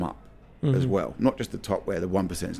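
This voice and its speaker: A man with a London accent at a moderate pace, his pitch swinging very widely, music playing in the background. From London, England. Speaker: vintage soccer merchandise store owner. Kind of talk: podcast interview conversation. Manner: exuberant, animated, profane.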